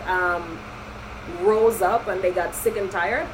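Speech from a woman comes very slowly. Behind it sits noticeable background noise. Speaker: podcast host. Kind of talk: casual chat. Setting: recording a podcast. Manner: animated, teasing.

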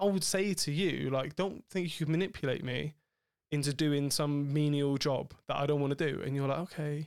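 On a very clean recording with a silent background, a man with a plain, everyday voice speaks at a fairly high pitch with fairly even intonation. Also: moderate pace. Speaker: podcast host. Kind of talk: casual chat. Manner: swears a lot, joking.

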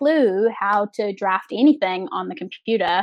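This woman speaks with a New Zealand accent. Her pace is moderate and her pitch variation ordinary. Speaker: set and projection designer. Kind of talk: interview. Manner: hesitant with fillers.

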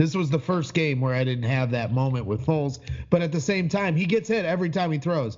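A man talks at a fairly quick pace in a normal speaking voice. His pitch is fairly high, with lively intonation. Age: 30s. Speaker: sports fan podcaster. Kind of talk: casual chat.

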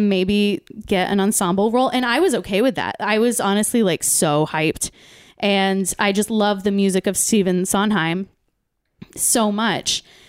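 A moderately paced woman's voice, very cleanly recorded against total silence. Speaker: community theater performer and podcast producer. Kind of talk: casual chat. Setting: studio.

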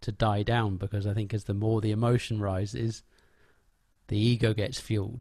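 A man's fairly low, somewhat breathy voice at a moderate pace, fairly even in intonation, on a very clean recording with a silent background. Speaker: podcast host. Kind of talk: casual interview conversation.

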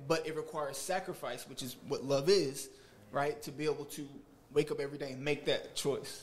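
A man with a normal speaking voice and fairly high pitch holds fairly even intonation while his loudness swings widely. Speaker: audience member. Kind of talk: casual chat. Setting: studio.

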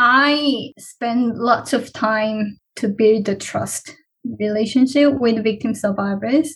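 Very slowly and with fairly even intonation, a woman speaks in a fairly high voice with a Korean accent. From South Korea. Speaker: PhD researcher. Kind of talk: interview, conversational.

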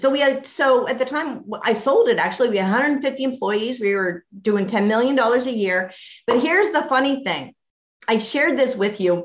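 With lively intonation, a woman speaks at a moderate pace in a high pitch. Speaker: business owner and tax educator. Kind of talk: interview sharing business tips.

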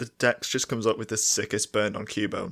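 Over a very clean recording with a silent background, a man talks at a fairly quick pace in an ordinary speaking voice with a medium pitch. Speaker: podcast co-host. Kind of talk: casual chat.

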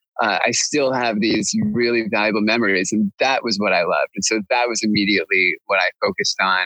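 At a fairly quick pace with hardly any pauses, a man keeps a very even loudness in a dry, close sound with no echo. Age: 40s. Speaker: wedding photographer. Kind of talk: interview. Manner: halting, many repetitions and fillers.

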